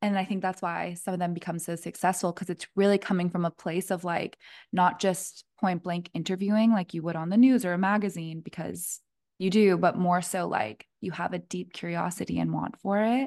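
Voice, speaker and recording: A woman speaks in a normal speaking voice at medium pitch, fairly quick, with ordinary pitch variation. The sound is dry and close with no echo, over a quiet background. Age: 20s. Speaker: podcast host. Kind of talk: casual interview chat.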